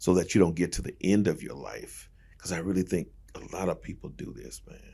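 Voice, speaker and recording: With very deep, low pitch and vocal fry, a man speaks at a fairly quick pace in a dark, mellow tone, showing ordinary pitch variation and big swings in loudness. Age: 60s. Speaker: pastor. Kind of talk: casual chat. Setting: studio.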